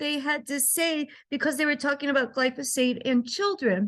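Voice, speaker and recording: Against a quiet background, a woman speaks at a high pitch with a bright, sharp tone and ordinary pitch variation. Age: 60s. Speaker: wellness entrepreneur and health activist. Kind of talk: informal presentation.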